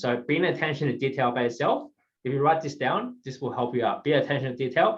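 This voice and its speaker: Somewhat breathy and fairly high-pitched, a man talks at a very fast pace. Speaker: guest speaker on professional presentation. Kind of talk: presentation to mentees. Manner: hesitant, many fillers.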